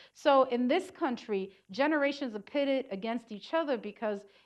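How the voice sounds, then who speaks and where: Against a quiet background, a woman with a New York accent talks at a moderate pace with ordinary pitch variation. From New York City. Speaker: community organizer. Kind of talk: lecture.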